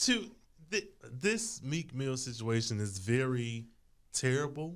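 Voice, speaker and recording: A man's medium-pitched voice at a very slow pace, with very wide pitch swings. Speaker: podcast panelist. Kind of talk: casual chat.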